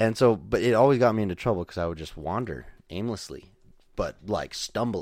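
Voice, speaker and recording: On a very clean recording with a silent background, a man with an American accent uses a normal speaking voice at a medium pitch, a fairly quick pace and ordinary pitch variation. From Idaho. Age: 20s. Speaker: podcast guest, roommate of host. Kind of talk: casual chat.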